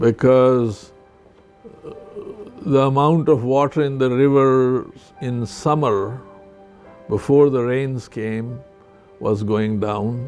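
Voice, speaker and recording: Over music in the background, a man speaks at a very slow pace with long, frequent pauses, a medium pitch and fairly even intonation. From Pakistan, border area with Afghanistan. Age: 70s. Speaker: retired surgeon. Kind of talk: interview answer.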